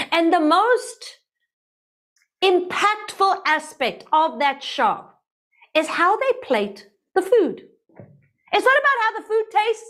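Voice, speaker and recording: Extremely high in pitch, a woman's lively intonation unfolds at a very slow pace with long, frequent pauses. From South Africa. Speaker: writing teacher. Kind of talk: lecture.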